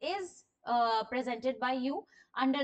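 Against a quiet background, a woman speaks in a high pitch with ordinary pitch variation. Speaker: teacher. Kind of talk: lecture.

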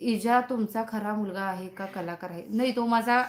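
A woman talks, her pitch moving with ordinary variation. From Sangli, Maharashtra. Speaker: content creator live-streaming. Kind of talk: casual live-stream chat with viewers. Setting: live stream. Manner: chatty, talkative.

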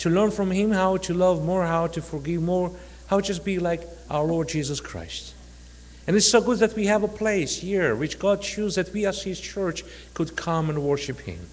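At a moderate pace, the speech shows ordinary pitch variation. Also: man, high pitch for a man. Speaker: speaker. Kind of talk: sermon. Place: church. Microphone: podium.

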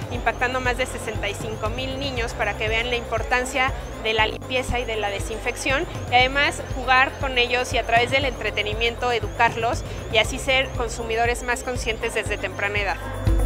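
Clear music can be heard behind the voice. A woman talks at a moderate speed. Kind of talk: interview answer. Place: hall. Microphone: lapel.

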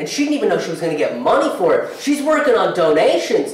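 A man talks fast in a high voice with big pitch swings. Strong room echo fills the recording.

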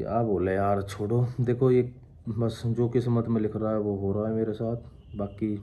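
A man's dark, mellow tone, fairly low pitch and monotone, flat intonation at a fairly slow pace. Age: 20s. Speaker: vlogger. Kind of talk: casual Q&A vlog. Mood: sad, reflective. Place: home room. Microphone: phone near.

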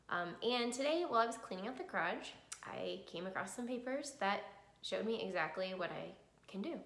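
Vocal fry and very wide pitch swings come at a fairly quick pace amid audible room echo. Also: woman, fairly high pitch for a woman. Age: 30s. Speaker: cancer survivor sharing her story. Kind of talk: personal testimony vlog. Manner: hesitant, many filler ums. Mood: calm, reflective, earnest. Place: home room. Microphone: phone near.

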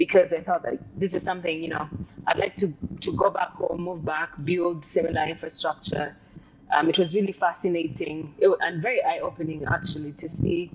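Amid noticeable background noise, a woman speaks at a moderate pace with fairly even intonation. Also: fairly low pitch for a woman. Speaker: guest. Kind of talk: interview answer. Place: car. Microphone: lapel.

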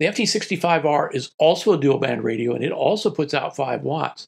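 A man talks with vocal fry. The background is quiet. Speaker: ham radio hobbyist reviewer. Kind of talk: product review talk to camera. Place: studio.

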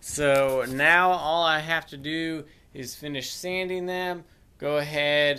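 A man talks with fairly even intonation. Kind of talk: tutorial. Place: workshop. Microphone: phone near.

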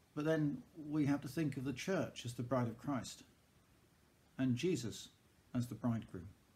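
A man's somewhat breathy, dark, mellow voice at a medium pitch, with ordinary pitch variation and long, frequent pauses. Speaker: church service leader. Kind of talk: fervent prayer, intercession spoken slowly and earnestly to God; evening prayer service, liturgical reading. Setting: church service recorded on video. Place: home room. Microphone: webcam.

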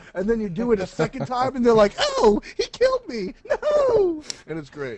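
Putting on a character voice with an extremely high pitch, a man speaks at a moderate pace over noticeable background noise. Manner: playful, mocking.

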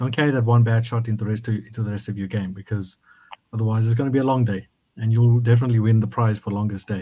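A man speaks at a very fast pace, somewhat breathy. His intonation is fairly even. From South Africa. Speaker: purpose coach. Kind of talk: casual discussion. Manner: halting.

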